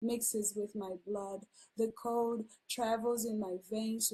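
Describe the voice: Fairly even intonation in plain reading aloud.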